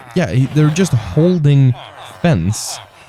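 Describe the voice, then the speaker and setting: Fairly slow speech from a man at a medium pitch with very wide pitch swings, over noticeable background noise. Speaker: gaming youtuber. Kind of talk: gameplay commentary. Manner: casual, rambling.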